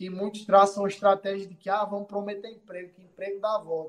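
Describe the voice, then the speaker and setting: With a Rio Grande do Norte accent, a man speaks in a high-pitched voice. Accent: northeastern Brazilian Portuguese (potiguar). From Rio Grande do Norte, Brazil. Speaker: city councillor. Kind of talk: casual interview.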